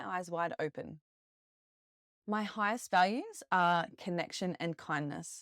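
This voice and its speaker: A woman with an Australian accent talks at a medium pitch and a fairly slow pace. The sound is dry and close, with no echo. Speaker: podcast host; retired police officer, yoga teacher. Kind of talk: podcast monologue. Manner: warm, friendly.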